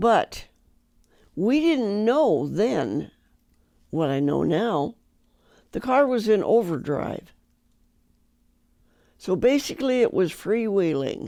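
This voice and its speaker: Using a raspy put-on character voice at medium pitch, a woman speaks fairly slowly with very wide pitch swings and long, frequent pauses. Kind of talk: folksy fireside storytelling. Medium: solo performance. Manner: chatty, homespun, repetitive.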